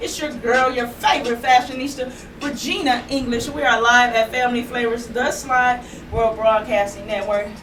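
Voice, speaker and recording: A woman speaks at a high pitch in an animated tone with ordinary pitch variation. Audible room echo and noticeable background noise are present. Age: 40s. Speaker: online show host and fashion presenter. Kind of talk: live fashion show talk. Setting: live stream broadcast. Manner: fast.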